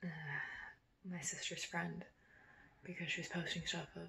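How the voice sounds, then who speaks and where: Soft-spoken delivery at a moderate pace. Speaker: vlogger. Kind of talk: video diary.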